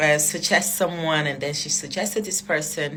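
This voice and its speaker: Amid noticeable background noise and audible room echo, a woman with a non-native accent speaks at a very deep, low pitch. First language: not English. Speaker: social media personality telling story. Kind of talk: storytime monologue. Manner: casual, hesitant with fillers.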